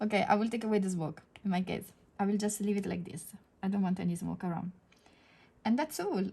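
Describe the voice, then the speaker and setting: A woman with an Italian accent speaks very fast in a dark, mellow, somewhat breathy tone, with ordinary pitch variation and long, frequent pauses. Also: medium pitch for a woman. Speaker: digital art teacher. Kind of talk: tutorial. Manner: halting, many fillers.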